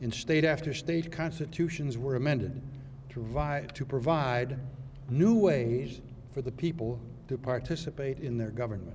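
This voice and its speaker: Speaking at a moderate pace, a man with a medium pitch and ordinary pitch variation is heard with audible room echo. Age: 80s+. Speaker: retired judge. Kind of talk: symposium speech. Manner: formal.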